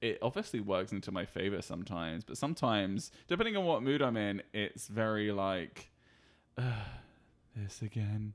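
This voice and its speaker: A man with a British accent speaks at a moderate pace in a fairly low voice, his tone animated. His intonation is lively, and the recording is very clean with a silent background. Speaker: podcast guest, husband of the host. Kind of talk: casual chat. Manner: animated, joking.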